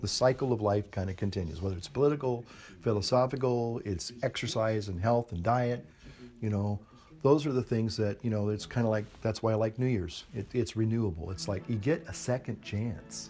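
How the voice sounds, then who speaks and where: A man's medium-pitched, dark, mellow, somewhat breathy voice at a fairly quick pace with ordinary pitch variation. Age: 60s. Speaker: pipe smoking video blogger. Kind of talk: casual monologue to camera. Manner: halting, hesitant.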